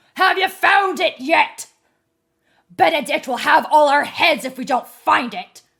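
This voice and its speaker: A woman's put-on character voice, high-pitched, growling and shouting, lively intonation, big swings in loudness, fairly slow pace. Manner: shouting, impatient.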